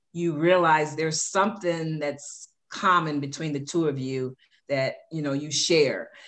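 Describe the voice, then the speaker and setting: A woman with a very deep, low pitch speaks at a fairly slow pace and with fairly even intonation. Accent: American. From South Side of Chicago. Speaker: podcast host's mother, former corporate manager. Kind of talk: casual chat. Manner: frequent fillers, relaxed.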